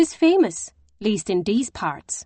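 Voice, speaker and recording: A woman's shrill, put-on character voice, fairly high in pitch, with very wide pitch swings. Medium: read story.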